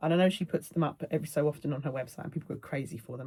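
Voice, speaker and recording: A woman talks very fast in a southern English accent, her pitch very deep and low with ordinary pitch variation. Her tone is dark and mellow and somewhat breathy. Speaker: cross-stitch video creator. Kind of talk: casual chat.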